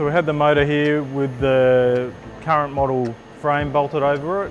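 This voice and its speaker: Over music in the background, a man speaks at a fairly high pitch with monotone, flat intonation. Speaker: motorcycle builder. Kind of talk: casual workshop talk to camera.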